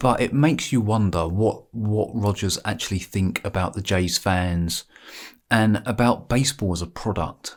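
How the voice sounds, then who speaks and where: A man with an English accent speaks at a moderate pace and a fairly low pitch. His pitch varies in an ordinary way, and the recording is very clean with a silent background. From England. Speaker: sports vlogger. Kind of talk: casual monologue. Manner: halting, repetitive.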